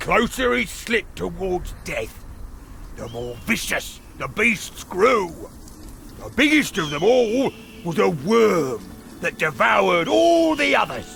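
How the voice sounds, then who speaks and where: A man puts on a character voice at a fairly slow pace, with clear background noise. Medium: video game. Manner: sardonic, impatient.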